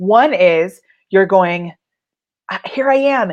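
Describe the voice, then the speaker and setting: A woman speaks in an animated tone with lively intonation. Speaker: business coach. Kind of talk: live tutorial. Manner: loud.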